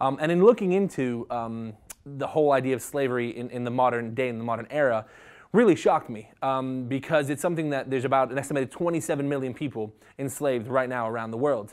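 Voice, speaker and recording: On a very clean recording with a silent background, a man with an American accent talks very fast at a medium pitch with ordinary variation. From US South, Jacksonville, Florida. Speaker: associate minister in training. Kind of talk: interview. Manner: hesitant, many fillers.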